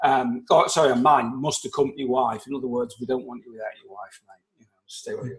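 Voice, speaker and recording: With an English accent, a man talks very fast at a medium pitch with hardly any pauses, a somewhat breathy voice, fairly even intonation, and big swings in loudness. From England. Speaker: life coach. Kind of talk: casual interview.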